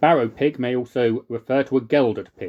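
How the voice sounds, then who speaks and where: A man speaks in a normal speaking voice at a medium pitch. His pace is moderate, and the background is quiet. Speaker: podcaster. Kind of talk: reading aloud from an old dialect glossary.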